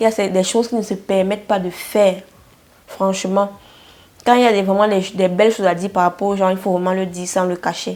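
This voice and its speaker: A woman's medium-pitched voice, monotone and flat, at a fairly quick pace broken by long, frequent pauses. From Cameroon. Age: 20s. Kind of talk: casual talk to camera.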